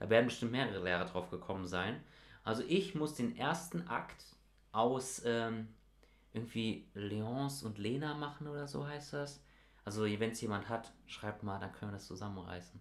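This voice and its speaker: Audible room echo surrounds a man speaking at a moderate pace. His medium-pitched voice has lively intonation. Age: young (19). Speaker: podcast co-host, school student. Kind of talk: casual chat. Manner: animated.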